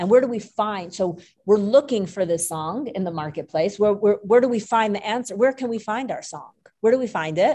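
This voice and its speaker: At a fairly quick pace, a woman with a plain, everyday voice speaks at a medium pitch with ordinary pitch variation. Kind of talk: class lecture. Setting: live class with Zoom participants.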